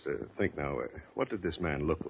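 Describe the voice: A man does a put-on character voice with vocal fry, speaking at a fairly quick pace.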